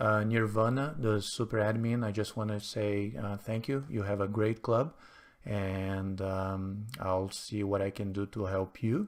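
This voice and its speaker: A man with a non-native accent, fairly low pitch, fairly even intonation and a fairly slow pace, on a very clean recording with a silent background. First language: not English. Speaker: chess streamer. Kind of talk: live game commentary. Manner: hesitant, many fillers.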